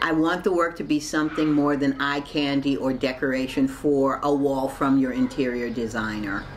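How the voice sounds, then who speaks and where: Over noticeable background noise, a woman with an American accent speaks at a moderate pace in a very deep, low pitch, with fairly even intonation and very even loudness. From Baltimore, US. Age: 60s. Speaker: artist. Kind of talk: interview monologue.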